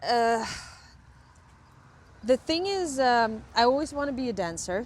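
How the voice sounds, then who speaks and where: A woman with a Ukrainian accent speaks in a high pitch with lively intonation. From western Ukraine. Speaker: camera crew member in film industry. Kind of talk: casual interview. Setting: outdoors, walking. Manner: hesitant, many fillers.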